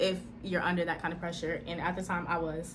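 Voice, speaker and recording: With audible room echo, a woman talks in an animated tone at a fairly quick pace, sounding somewhat breathy. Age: 20s. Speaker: speech-language pathology student and vlogger. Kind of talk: personal testimony vlog.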